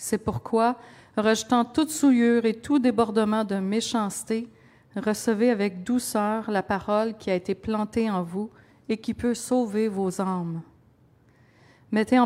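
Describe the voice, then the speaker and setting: A woman's plain, everyday voice, fairly high in pitch, with fairly even intonation at a fairly slow pace. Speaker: scripture reader. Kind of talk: reading aloud.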